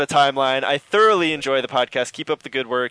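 The clip features a natural reading voice.

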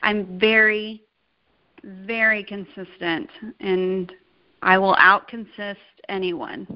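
At a very slow pace broken by long, frequent pauses, a woman speaks at medium pitch with fairly even intonation. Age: 30s. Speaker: network marketing business leader. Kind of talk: casual interview on a conference call.

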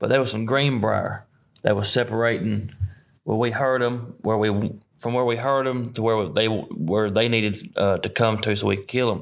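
A man speaks in a Southern US accent with fairly even intonation. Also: medium pitch for a man, moderate pace. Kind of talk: hunting story in casual chat.

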